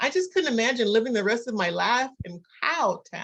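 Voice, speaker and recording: Speaking at a moderate pace, a woman uses a normal speaking voice with a fairly high pitch. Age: 60s. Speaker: pastor. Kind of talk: interfaith dialogue Q&A. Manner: conversational.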